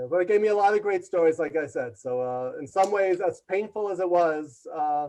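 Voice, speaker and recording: Loud and high-pitched, a man with a New York accent speaks in a dark, mellow tone with ordinary pitch variation. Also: fairly quick pace. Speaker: leadership consultant and author. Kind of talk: interview storytelling. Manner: loud and fast.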